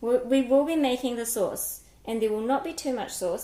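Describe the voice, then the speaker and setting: A woman speaks with a New Zealand accent at a moderate pace, her pitch fairly high with ordinary variation. Noticeable background noise is present. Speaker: cooking livestreamer. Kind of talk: live-stream cooking chat. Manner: casual, chatty with filler words.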